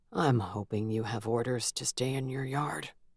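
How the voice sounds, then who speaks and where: A put-on character voice, pitched low-to-middle, moves at a moderate pace. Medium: read story. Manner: dry, terse.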